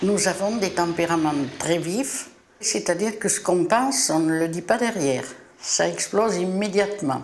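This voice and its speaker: A woman with a medium-pitched voice speaks at a moderate pace with ordinary pitch variation, amid audible room echo and noticeable background noise. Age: 70s. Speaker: family business founder. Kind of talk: documentary interview.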